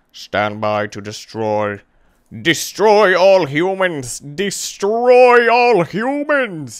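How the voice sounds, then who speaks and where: A man speaks in a put-on character voice, high in pitch for a man, with very wide pitch swings. His pace is very slow. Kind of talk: comic robot impression. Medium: game stream.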